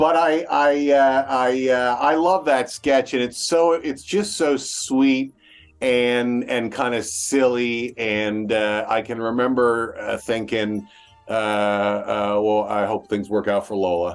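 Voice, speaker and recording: With music in the background, a man speaks very slowly at medium pitch with ordinary pitch variation. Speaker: interviewer. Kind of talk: interview host talk.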